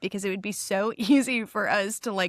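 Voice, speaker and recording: In a very clean recording with a silent background, a woman with a Midwestern American accent talks at a moderate pace and a medium pitch. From Chicago area, US Midwest. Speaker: podcast co-host. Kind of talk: casual chat.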